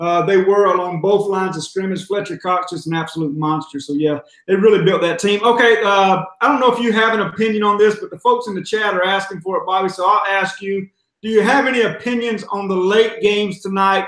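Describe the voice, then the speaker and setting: With an American accent, a man talks at a fairly quick pace in a high pitch, his intonation fairly even and hardly any pauses in between. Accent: sounds like a redneck (Southern US). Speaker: sports betting show host. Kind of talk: casual chat. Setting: live video stream.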